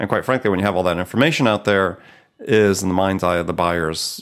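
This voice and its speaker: A man with a very deep, low pitch talks at a very fast pace. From US Midwest. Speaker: podcast host. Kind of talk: interview.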